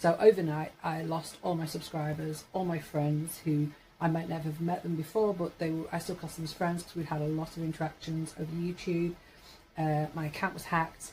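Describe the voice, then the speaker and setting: A woman speaks at a fairly quick pace with a fairly low pitch and a dark, mellow tone. Her voice is somewhat breathy, and her intonation is monotone and flat. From Yorkshire, northern England. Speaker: vlogger. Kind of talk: casual monologue vlog. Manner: rambling, hesitant with fillers.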